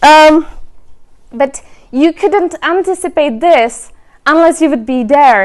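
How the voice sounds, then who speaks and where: The woman's intonation is lively as she moves along at a moderate pace. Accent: Czech. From Czech Republic. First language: Czech. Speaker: remote work advocate and speaker. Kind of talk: presentation.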